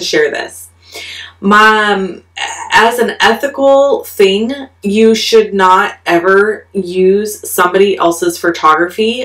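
At a fairly slow pace, a woman speaks with ordinary pitch variation over a quiet background. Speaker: craft demonstrator. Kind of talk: tutorial aside, casual chat.

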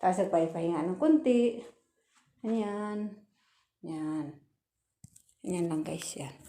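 A woman with a medium pitch and a dark, mellow tone speaks at a very slow pace, leaving long, frequent pauses. Her intonation is lively, and her loudness swings widely. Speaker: overseas worker vlogger. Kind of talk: casual vlog. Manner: halting, many fillers.

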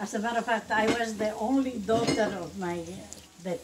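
A woman is heard over loud background noise. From Bolivia. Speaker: home cook grandmother. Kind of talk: casual cooking talk and storytelling. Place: kitchen. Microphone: phone near.

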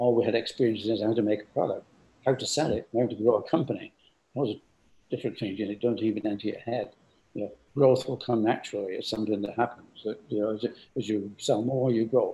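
Somewhat breathy and dark, mellow in tone, a man with a medium pitch talks at a very fast pace with fairly even intonation. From England. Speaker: company founder; guest. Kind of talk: interview. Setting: video call. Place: home room. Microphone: video call.

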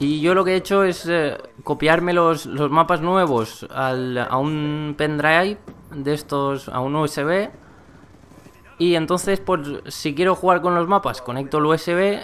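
This man talks at a very slow pace. His pitch is fairly high, with ordinary variation. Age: 20s. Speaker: gaming YouTuber. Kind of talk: gameplay commentary vlog. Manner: halting, frequent repetitions.

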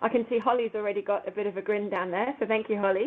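A woman talks at a very fast pace. Her pitch variation is ordinary. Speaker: educator presenting a webinar. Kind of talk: webinar presentation.

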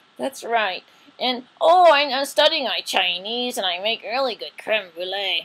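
The voice sounds female and is a cartoonish character voice. Its pitch is fairly high for a woman. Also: moderate pace. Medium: puppet show. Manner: emotive, sighing.

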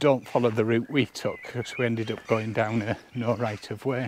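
At a moderate pace, a man talks at a medium pitch.

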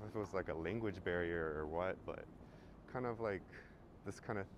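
Lively intonation carries the speech at a moderate pace, with a dry sound that has no echo and noticeable background noise. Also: man. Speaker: travel vlogger. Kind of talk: casual vlog chat. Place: street. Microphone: phone near.

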